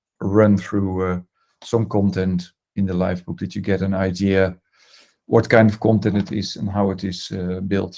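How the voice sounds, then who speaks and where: A man with a Dutch accent speaks at a fairly slow pace, his pitch fairly low and his tone dark and mellow. The recording is very clean, with a silent background. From Netherlands. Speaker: design management consultant. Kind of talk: presentation. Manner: hesitant, many fillers.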